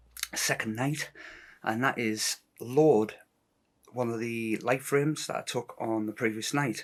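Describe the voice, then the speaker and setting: There is music in the background as a man speaks. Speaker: amateur astrophotographer. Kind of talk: casual tutorial vlog. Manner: hesitant, many fillers.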